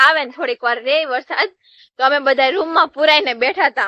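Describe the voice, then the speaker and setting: A woman's raised, projected voice in a Kathiawar accent, high-pitched with ordinary pitch variation, in a dry, close sound with no echo. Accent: Kathiawadi Gujarati. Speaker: village vlogger. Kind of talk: casual vlog narration. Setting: outdoors.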